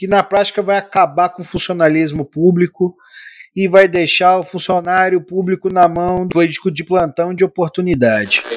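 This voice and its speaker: The sound is dry and close with no echo, and the talking keeps a moderate pace. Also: man, high pitch for a man. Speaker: political podcast host. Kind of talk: casual political commentary. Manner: animated.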